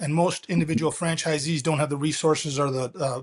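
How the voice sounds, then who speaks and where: In an American accent, a man talks with monotone, flat intonation at a fairly high pitch against a quiet background. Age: 60s. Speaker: company founder and CEO. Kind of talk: interview.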